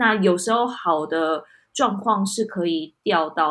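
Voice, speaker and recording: On a very clean recording with a silent background, a woman with a Taiwanese accent speaks with ordinary pitch variation. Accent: Taiwanese Mandarin. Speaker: podcast co-host. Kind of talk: casual chat.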